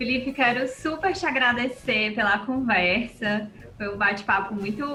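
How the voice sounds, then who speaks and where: Music plays behind a woman with a Cearense accent. Her voice is high-pitched and her pace fairly slow. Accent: Ceará (cearense). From Brazil, Ceará (Fortaleza). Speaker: nutritionist and podcast host. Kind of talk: podcast interview.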